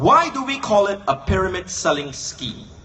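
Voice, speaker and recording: Noticeable background noise sits behind a man who speaks at a fairly slow pace with very wide pitch swings. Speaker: political speaker. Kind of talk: political speech. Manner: rhetorical, questioning.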